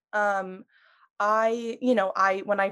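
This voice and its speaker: It is a plain, everyday voice with fairly even intonation. The background is quiet. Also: woman. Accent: American. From US Northeast, Long Island, New York. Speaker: podcast producer and video editor. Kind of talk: casual chat.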